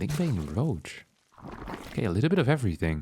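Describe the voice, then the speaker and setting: Over music in the background, a man with a medium-pitched voice speaks with very wide pitch swings. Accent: non-native. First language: not English. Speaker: esports caster. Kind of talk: live commentary. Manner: animated.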